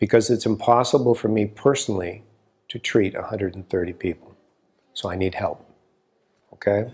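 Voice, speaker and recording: A man's fairly low pitch at a moderate pace, with fairly even intonation. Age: 60s. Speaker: acupuncturist and teacher. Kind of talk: course preview talk to camera.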